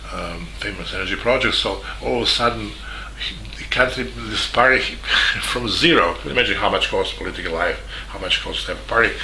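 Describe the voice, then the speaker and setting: A man at a fairly quick pace with big swings in loudness, amid audible room echo and noticeable background noise. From Serbia, Belgrade. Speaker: journalist. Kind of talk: video statement. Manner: halting.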